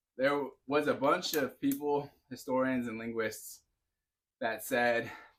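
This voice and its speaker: A man speaks with an American accent at a fairly slow pace. His intonation stays fairly even. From California. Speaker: fitness streamer. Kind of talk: live stream chat. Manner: casual, halting.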